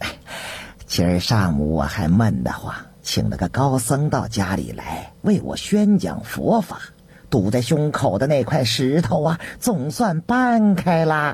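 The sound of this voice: A man's put-on character voice with a husky, rough edge, a slightly mellow tone and big pitch swings. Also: medium pitch for a man, fairly slow pace.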